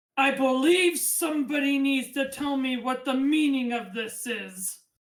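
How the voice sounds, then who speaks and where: A put-on character voice at a moderate pace. The pitch moves in an ordinary way. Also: woman, high pitch for a woman. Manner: demanding, imperious.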